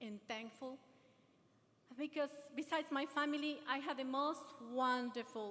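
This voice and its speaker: A woman speaks with a non-native accent and a high pitch. Her pitch varies in an ordinary way. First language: not English. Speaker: adult education graduate and speaker. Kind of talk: ceremony speech, partly read aloud. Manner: halting.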